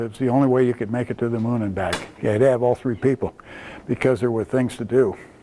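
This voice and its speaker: A man's very fast, medium-pitched speech with an American accent over noticeable background noise. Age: 70s. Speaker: retired rocket engineer. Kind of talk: talk to children's group. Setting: presentation to Cub Scouts. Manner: hesitant, many fillers.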